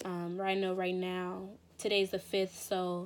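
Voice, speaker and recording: The woman is soft-spoken, with a medium pitch. Her intonation is monotone and flat. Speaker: tarot reader. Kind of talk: tarot reading monologue. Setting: home recording, morning. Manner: hesitant, many fillers.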